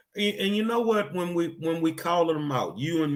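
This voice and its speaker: A fairly high-pitched man with an American accent at a moderate pace. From Texas, Houston. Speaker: online show host. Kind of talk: interview.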